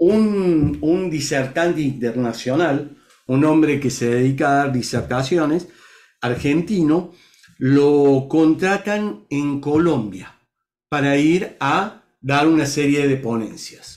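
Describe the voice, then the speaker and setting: The speech moves at a very slow pace with ordinary pitch variation, and the background is quiet. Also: man, fairly high pitch for a man. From Argentina, Córdoba; Argentina. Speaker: leadership coach guest. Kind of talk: interview storytelling. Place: home room. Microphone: video call.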